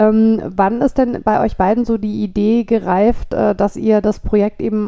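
Her pitch medium, a woman speaks with fairly even intonation. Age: 40s. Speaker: podcast host. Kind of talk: interview. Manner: halting, many fillers.

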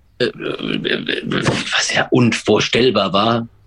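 A man's voice with vocal fry. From Baden-Württemberg (Pforzheim), Germany. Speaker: sports commentator and stadium announcer. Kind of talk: casual chat. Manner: halting.

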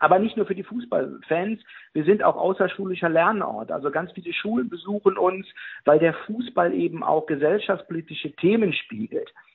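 A man with ordinary pitch variation. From Ruhr area, Germany. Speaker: museum director. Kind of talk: interview.

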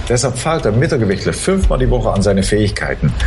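Fairly quick speech from a man, with noticeable background noise behind it. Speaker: chess commentator. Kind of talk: live commentary, expert chat. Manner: halting, self-repeating.

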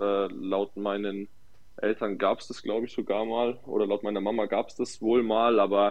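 A man's monotone voice with flat intonation, at a moderate pace. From Nuremberg, Franconia. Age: 20s. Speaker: footballer. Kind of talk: casual chat.

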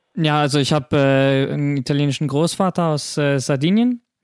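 In a very clean recording with a silent background, a man talks at a fairly quick pace in a plain, everyday voice, the sound dry and close with no echo. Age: 20s. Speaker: podcast host. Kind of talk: casual chat.

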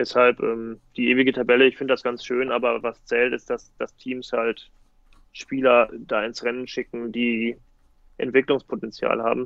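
With a medium pitch, a man delivers his words in a flat monotone. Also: moderate pace. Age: 30s. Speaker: futsal player and coach, teacher. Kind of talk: casual interview.

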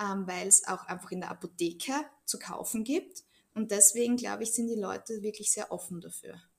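A woman has an unremarkable speaking voice at medium pitch. She talks at a fairly quick pace with ordinary pitch variation. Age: 30s. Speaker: Bach flower practitioner. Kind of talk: interview.

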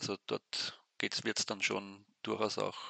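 Talking at a fairly slow pace, a man with vocal fry and a bright, sharp tone sounds dry and close, with no echo. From Austria, Weinviertel (Lower Austria). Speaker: sports newspaper editor. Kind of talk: interview. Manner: halting, many repetitions.

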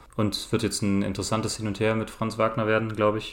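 An ordinary speaking voice from a man at medium pitch and a fairly quick pace. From Germany, Cologne. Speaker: basketball podcast guest. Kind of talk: casual chat.

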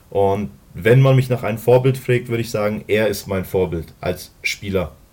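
A man's somewhat breathy voice, fairly low in pitch. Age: 30s. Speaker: American football player. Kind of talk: casual interview.

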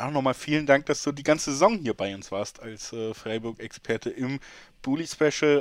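On a very clean recording with a silent background, a man at medium pitch talks at a very fast pace with ordinary pitch variation. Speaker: podcast host. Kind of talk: casual chat. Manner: animated.

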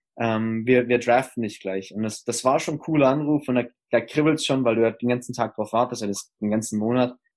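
A man speaks in a normal speaking voice at a medium pitch and a fairly quick pace. His intonation stays fairly even against a quiet background. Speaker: former pro footballer, college coach. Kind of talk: interview.

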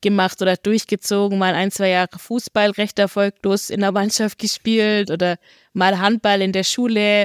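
A woman talks at a fairly slow pace in a dry, close sound with no echo. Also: very clean recording, silent background. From northern Germany, near Hamburg. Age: 30s. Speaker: trail runner and biochemist. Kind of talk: casual interview.

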